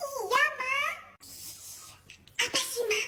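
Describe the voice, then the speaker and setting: An extremely high, squeaky put-on character voice, shouting. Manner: yelling.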